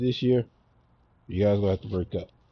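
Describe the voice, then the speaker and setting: The voice is somewhat breathy and comes with a Southern US accent. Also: man. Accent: country Southern US. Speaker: sports podcast host. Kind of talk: casual sports opinion monologue. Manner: stumbles over words; animated.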